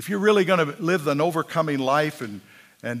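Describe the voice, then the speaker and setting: A man's animated voice with ordinary pitch variation. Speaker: preacher. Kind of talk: sermon. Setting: church with congregation. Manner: animated, emphatic preaching cadence with call-and-response.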